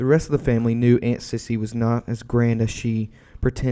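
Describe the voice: The clip is plain reading aloud.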